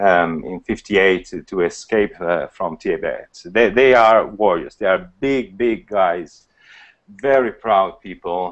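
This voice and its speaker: A man talks at a very slow pace in a fairly low pitch. His pitch varies in an ordinary way, and the background is quiet. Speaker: biologist, university lecturer and photographer. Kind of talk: casual interview. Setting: video call. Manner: halting. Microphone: video call.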